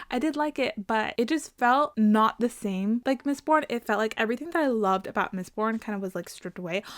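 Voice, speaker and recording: Animated and quick, a woman with a fairly high pitch and lively intonation talks with hardly any pauses, the sound dry and close with no echo. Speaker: book content creator. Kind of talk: casual video monologue. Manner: fast.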